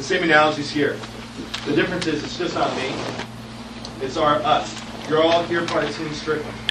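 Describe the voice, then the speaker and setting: A man with an American accent talks at a fairly quick pace, his pitch fairly high and his intonation monotone and flat. Noticeable background noise runs underneath. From California, US. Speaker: political candidate. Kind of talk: rally speech, stump speech. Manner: earnest, rallying, emphatic. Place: hall.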